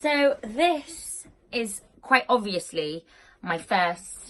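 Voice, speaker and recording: A woman with a British accent and very wide pitch swings. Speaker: personal trainer. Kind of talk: casual talk to camera. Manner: casual, filler-heavy.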